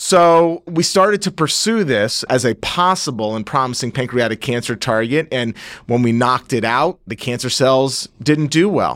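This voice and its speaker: A man with an American accent, an ordinary speaking voice and lively intonation, at a moderate pace with hardly any pauses, on a very clean recording with a silent background. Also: medium pitch for a man. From Northeast New Jersey. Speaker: surgeon scientist. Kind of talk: interview on medical research.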